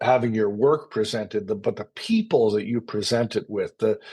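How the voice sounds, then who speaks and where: This man has an American accent and a medium-pitched, dark, mellow tone. He keeps a moderate pace with fairly even intonation. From Connecticut, US. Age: 60s. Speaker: actor and playwright. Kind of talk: interview. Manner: halting.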